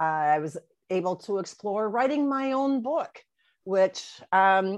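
With an American accent and lively intonation, the speaker talks at a very slow pace against a quiet background. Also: woman. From Wisconsin, near Minneapolis-St. Paul. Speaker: author and publisher. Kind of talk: interview conversation. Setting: video call.

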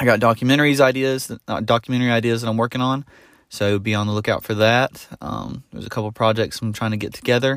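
Talking at a very fast pace, a man with a Southern US accent keeps a medium pitch and fairly even intonation. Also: very clean recording, silent background. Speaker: podcaster and YouTuber. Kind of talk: solo podcast update. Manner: casual, filler words.

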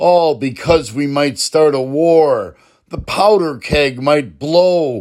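The man speaks at a very slow pace. His pitch varies in an ordinary way. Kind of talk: spoken word poem, rhymed protest verse. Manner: rhythmic, rhyming cadence, impassioned and urgent; pleading, emphatic refrain repeated.

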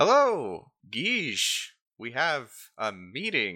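Putting on a character voice, a man at medium pitch speaks very slowly, his pitch swinging very widely. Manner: jovial.

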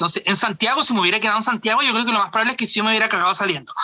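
A man speaks in a raised, projected voice with a Chilean accent. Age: 30s. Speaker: drag artist and comedian. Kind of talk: casual interview. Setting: video call.

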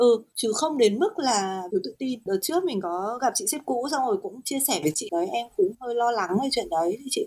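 Pitched high, a woman's voice swings very widely in pitch. She talks at a fairly quick pace with hardly any pauses. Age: 30s. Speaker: guest on a parenting podcast, new mother. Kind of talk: casual chat.

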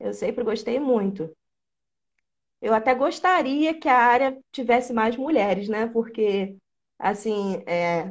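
The delivery is fairly slow, in an ordinary speaking voice with lively intonation. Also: woman. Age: 20s. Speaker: programming content creator. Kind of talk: casual interview.

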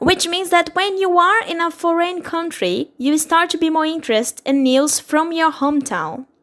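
With a Portuguese accent, a woman talks at a moderate pace in an extremely high voice, with ordinary pitch variation and hardly any pauses. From Brazil. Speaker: podcast host. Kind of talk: casual interview. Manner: animated.

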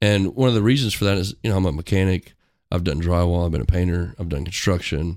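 Over a very clean recording with a silent background, a man with a very deep, low pitch races along at a very fast pace with ordinary pitch variation. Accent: Midwestern US. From rural Missouri. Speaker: school district worker. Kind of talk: casual chat.

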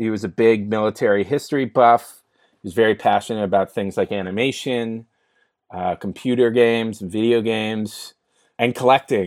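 The recording is very clean, with a silent background and a dry, close sound with no echo. A man with a Californian accent speaks at a moderate pace and medium pitch. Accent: Californian American. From US West Coast (San Francisco). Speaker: entrepreneur and mental health advocate. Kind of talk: podcast interview.

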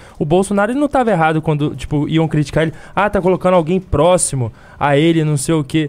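A very fast pace in a dark, mellow tone with ordinary pitch variation. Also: man. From Rio de Janeiro, Baixada Fluminense. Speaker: political activist. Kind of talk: casual live stream chat.

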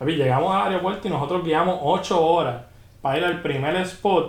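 A man with a fairly high pitch talks at a moderate pace with ordinary pitch variation. Audible room echo and noticeable background noise surround him. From Puerto Rico, rural Juncos/Canóvanas. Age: 30s. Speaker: photographer. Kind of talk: casual chat. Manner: animated.

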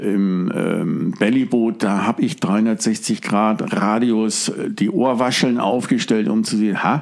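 Over noticeable background noise, a man talks. His pitch is fairly low and his intonation fairly even. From northern Germany (Hamburg, Stade). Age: 50s. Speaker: fly fishing angler. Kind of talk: interview.

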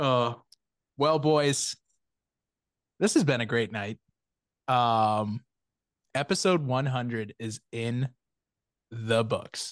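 A man at medium pitch, very slow, with ordinary pitch variation and long, frequent pauses, against a quiet background. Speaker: podcast host. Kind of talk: casual chat. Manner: animated.

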